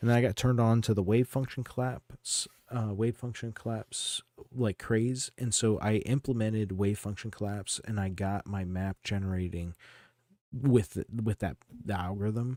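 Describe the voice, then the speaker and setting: Soft-spoken and fairly low in pitch, a man talks at a moderate pace with a dark, mellow tone and fairly even intonation on a very clean recording with a silent background. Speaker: game streamer. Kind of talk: casual live stream chat. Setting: home live stream. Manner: soft-spoken, keeping it down; casual, halting with restarts.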